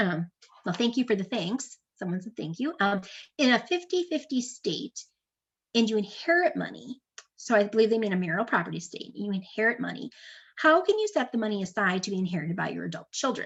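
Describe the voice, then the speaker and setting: A woman speaks at a fairly quick pace, her fairly high voice somewhat breathy. Her pitch swings very widely. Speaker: estate planning attorney. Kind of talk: webinar presentation with Q&A. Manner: fast; many filler words (um, uh).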